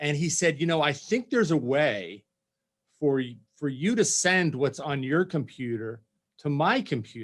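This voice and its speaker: An unremarkable speaking voice at a moderate pace with lively intonation. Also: man, fairly high pitch for a man. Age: 60s. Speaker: PR executive, former press secretary. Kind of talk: casual interview chat.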